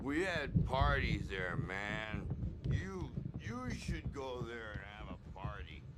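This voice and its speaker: Through loud background noise, a man does a put-on character voice at medium pitch and a fairly slow pace. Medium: video game. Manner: loud, blustery.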